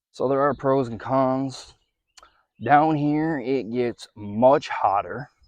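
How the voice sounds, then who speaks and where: A man talks with an American accent. The sound is dry and close, with no echo. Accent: Michigan accent noticed by locals in Kentucky. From Michigan. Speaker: vlogger. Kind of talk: casual vlog talk. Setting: in a car, partly. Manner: casual, with some fillers.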